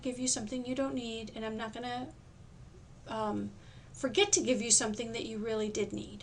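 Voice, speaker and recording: A woman speaks at a fairly quick pace with a fairly high pitch, and room echo is audible. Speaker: tax course instructor. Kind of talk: recorded lecture. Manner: fast; halting, with many fillers.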